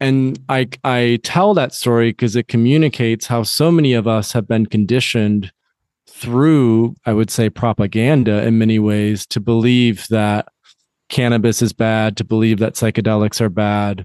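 With a General American accent and an unremarkable speaking voice, a man talks at a moderate pace and medium pitch, with ordinary pitch variation and very even loudness, in a dry, close sound with no echo over a quiet background. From US Midwest, West Michigan. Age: 30s. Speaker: psychedelics company founder. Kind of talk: interview. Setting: outdoors in backyard, remote call.

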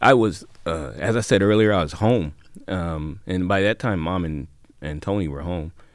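Moderate pace and ordinary pitch variation in a Midwestern American accent, on a very clean recording with a silent background. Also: man. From Xenia, Ohio. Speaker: retired highway patrol officer, tornado survivor. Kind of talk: personal testimony.

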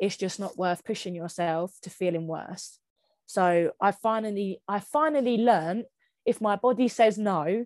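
A woman with a Kent accent, medium in pitch, at a fairly slow pace with ordinary pitch variation, over a quiet background with a dry, close sound and no echo. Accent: Kent, southeast England. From Kent, southeast England. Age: 20s. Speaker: physiotherapist with long Covid. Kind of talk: testimony.

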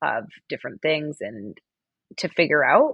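A woman's very deep, low voice moves along at a moderate speed. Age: 30s. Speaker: communications professional. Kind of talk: casual chat.

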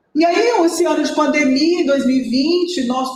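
A woman speaks with audible room echo and noticeable background noise in the recording. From Brasília, Brazil. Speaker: municipal finance secretary. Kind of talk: interview.

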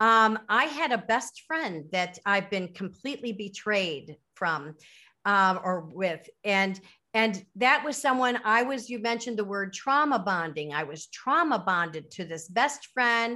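The voice has a bright, sharp tone and an American accent, with very wide pitch swings. It moves at a fairly slow pace over a quiet background. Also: woman, medium pitch for a woman. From US Midwest, Chicago suburbs. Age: 50s. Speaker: author and retired educator. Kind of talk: interview. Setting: remote call. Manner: halting, many fillers.

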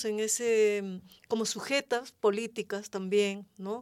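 A woman's dark, mellow voice at a fairly high pitch, at a very slow pace. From Peru. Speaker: community member, former intercultural mediator. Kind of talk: radio roundtable discussion. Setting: radio studio.

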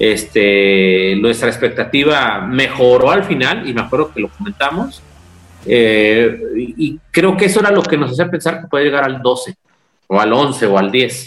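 A medium-pitched male voice at a fairly slow pace, full of very wide pitch swings. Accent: Mexican. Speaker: football podcast co-host. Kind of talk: casual chat.

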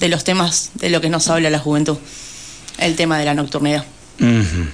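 Ordinary pitch variation from a woman, with noticeable background noise. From Argentina, Buenos Aires province (Pehuajó). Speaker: city council candidate. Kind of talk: radio interview.

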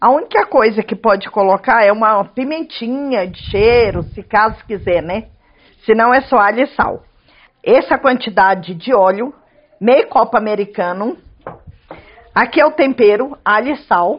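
Fairly high for a woman, her voice moves with lively intonation at a fairly slow pace broken by long, frequent pauses. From Goiás, Chapada dos Veadeiros (central Brazil). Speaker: cook and restaurant owner. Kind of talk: cooking tutorial. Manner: casual.

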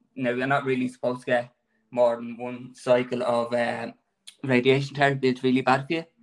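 In an Irish accent, a man talks at a medium pitch. His delivery is monotone and flat. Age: 30s. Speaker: cancer patient. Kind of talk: testimony. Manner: shaky.

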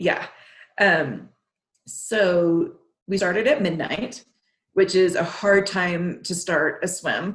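A woman at medium pitch sounds somewhat breathy, with ordinary pitch variation and long, frequent pauses. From Texas. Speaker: marathon swimmer. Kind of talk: interview. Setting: remote call from home.

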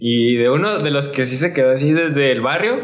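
With clear background noise and an audible echo from the room, a man talks with a normal amount of pitch movement. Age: 20s. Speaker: skateboarder and muralist. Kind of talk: casual chat.

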